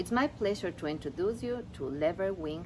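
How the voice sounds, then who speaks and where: A woman with a non-native accent talks at a fairly quick pace with lively intonation. Vocal fry runs through her voice. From Ecuador. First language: Spanish. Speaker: seminar graduate. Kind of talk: prepared speech.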